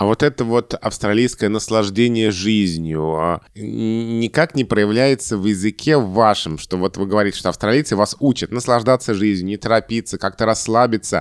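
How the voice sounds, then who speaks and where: In an unremarkable speaking voice, a man talks at a moderate pace with hardly any pauses, fairly low pitch and ordinary pitch variation, recorded very cleanly against a silent background with a dry, close sound and no echo. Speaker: linguist and podcast co-host. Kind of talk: casual chat. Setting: studio.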